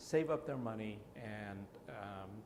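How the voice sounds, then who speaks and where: A man speaks at a medium pitch. Noticeable background noise and audible room echo are present. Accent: American. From South Central Los Angeles, came from Toisan, China at 7. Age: 60s. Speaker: oral history interviewee. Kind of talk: oral history interview. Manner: many filler words (uh, um).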